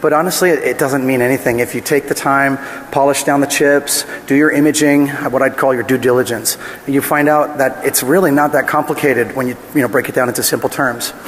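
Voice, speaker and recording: A man speaks at a fairly quick pace with a fairly high pitch and very even loudness. Noticeable background noise runs behind him. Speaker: security researcher presenting a talk. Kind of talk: conference talk. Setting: stage with audience. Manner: fast; animated.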